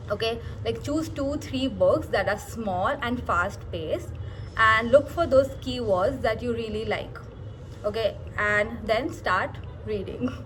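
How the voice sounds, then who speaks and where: Fairly slow speech from a woman, in a room with audible echo. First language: not English (English is third language). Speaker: book YouTuber. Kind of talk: casual vlog tips talk. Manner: hesitant, many fillers.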